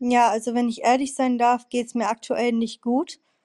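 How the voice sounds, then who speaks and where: A woman speaks in a high pitch with a dark, mellow tone and flat, monotone intonation, the sound dry and close with no echo. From Bremen, northern Germany. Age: 20s. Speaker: student. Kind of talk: interview.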